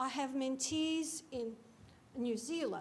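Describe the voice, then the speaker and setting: A woman's high voice carries ordinary pitch variation and audible room echo. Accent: Georgian. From Georgia. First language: Georgian. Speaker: cybersecurity academic, keynote speaker. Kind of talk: keynote talk. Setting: lecture theatre with audience.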